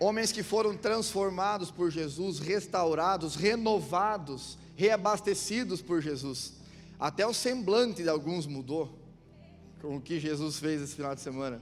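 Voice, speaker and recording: With music in the background and audible room echo, a man speaks in a high voice with lively intonation. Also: fairly slow pace. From Santa Catarina, southern Brazil (Chapecó). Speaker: guest pastor. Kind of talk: sermon. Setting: church with congregation. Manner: animated.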